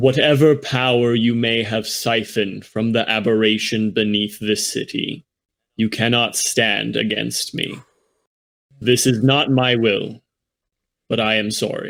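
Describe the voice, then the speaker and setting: A man's put-on character voice, medium in pitch, at a fairly slow pace. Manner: menacing, commanding.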